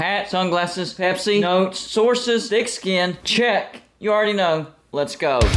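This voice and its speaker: A man's high-pitched voice at a fairly slow pace, with ordinary pitch variation, very even loudness, and music in the background. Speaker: college football fan commentator. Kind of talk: casual talk to camera.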